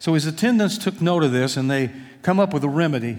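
A man talks at a fairly quick pace in a normal speaking voice. His pitch is fairly high and his intonation lively. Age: 60s. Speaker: pastor. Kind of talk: sermon. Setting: church.

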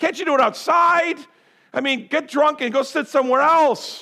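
A man projects a raised voice with a bright, sharp tone. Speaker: pastor. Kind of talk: sermon. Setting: church. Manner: loud; animated.

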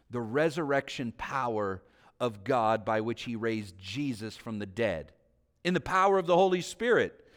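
The recording is very clean, with a silent background. A man of medium pitch speaks at a moderate pace with very wide pitch swings. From Northern California (Vallejo). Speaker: pastor. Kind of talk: sermon.

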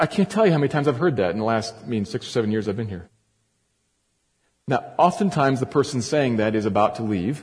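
A man speaks very fast at a medium pitch with lively intonation. His voice is somewhat breathy against a quiet background. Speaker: pastor. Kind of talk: sermon. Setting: church. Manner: edgy tone.

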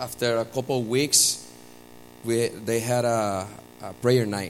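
A man speaks at a fairly slow pace with a Puerto Rican accent, his pitch medium. Room echo is audible, and music plays in the background. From Puerto Rico. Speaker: church member sharing testimony. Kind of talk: testimony. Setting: church with congregation. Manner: halting.

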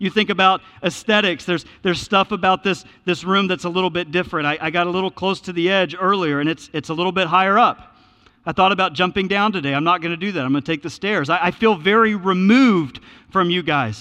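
A bright, sharp tone at a very fast pace. The pitch moves in an ordinary way. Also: man, high pitch for a man. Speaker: pastor. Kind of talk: sermon. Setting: church.

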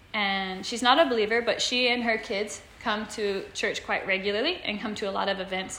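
Over noticeable background noise, a woman with an American accent speaks at a fairly high pitch and moderate pace, with ordinary pitch variation and hardly any pauses. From Kansas, US. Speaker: missionary. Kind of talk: presentation to church congregation. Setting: church sanctuary with audience and slides. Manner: clear and distinct.

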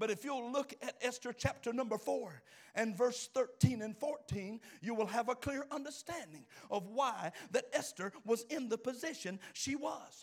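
At a fairly slow pace, a man talks in an extremely high pitch with ordinary pitch variation. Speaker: preacher. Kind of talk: sermon, preacher in full flow with call-and-response. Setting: church with a live congregation. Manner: animated, emphatic, repeats lines and urges the congregation to answer; exhorting, pastoral.

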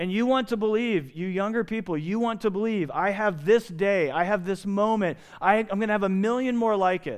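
A man with an American accent speaks at a fairly quick pace in a high voice, using ordinary pitch variation and hardly any pauses. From Indiana. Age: 50s. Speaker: pastor. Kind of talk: sermon. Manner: animated.

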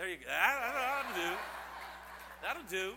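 The voice has a playful, animated tone. Noticeable background noise is present. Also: man. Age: 40s. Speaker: pastor. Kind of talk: sermon to a congregation with children and young people. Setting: church service. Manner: animated, call-and-response exhortation; playful, joking with the kids.

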